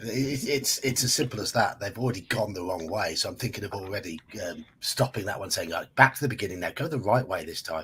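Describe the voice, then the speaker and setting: Speaking at a fairly quick pace with hardly any pauses, the voice has an English accent, lively intonation and big swings in loudness. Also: man, medium pitch for a man. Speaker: fellow streamer. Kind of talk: casual chat.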